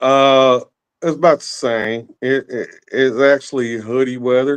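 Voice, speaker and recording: A man with a Southern US accent speaks at a medium pitch and a fairly slow pace, his intonation fairly even, in a dry, close recording with no echo. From West Tennessee. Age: 40s. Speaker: rapper and drummer. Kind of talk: casual chat.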